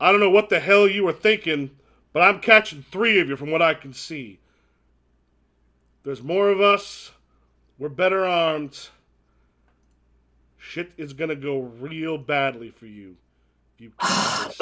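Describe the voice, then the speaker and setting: In a put-on character voice, a man booms out in a raised, projected voice at fairly high pitch and a moderate pace, with big swings in loudness and long, frequent pauses, on a very clean recording with a silent background. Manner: angry, threatening.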